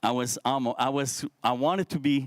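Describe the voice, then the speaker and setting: A man talks with a Quebec accent. The sound is dry and close, with no echo. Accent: French-Canadian accent in English. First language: French. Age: 50s. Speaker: social entrepreneur, speaker. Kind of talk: motivational talk to youth forum. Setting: stage with live audience, streamed. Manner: halting, with false starts.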